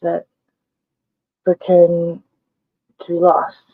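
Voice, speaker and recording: A woman speaks quietly at a fairly low pitch. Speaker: vlogger. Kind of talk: casual vlog monologue.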